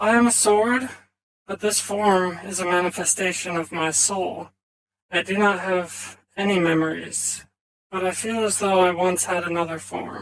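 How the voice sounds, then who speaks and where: Pitched in the middle and delivered at a moderate pace, this is a put-on character voice. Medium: actual play. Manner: measured, formal.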